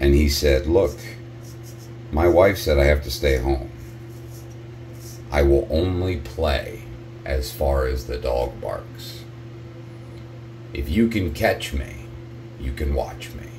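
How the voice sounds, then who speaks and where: A man speaks at a very deep, low pitch and a very slow pace. Long, frequent pauses break it up, over noticeable background noise. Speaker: vlogger. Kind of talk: casual vlog chat. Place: bathroom. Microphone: phone near.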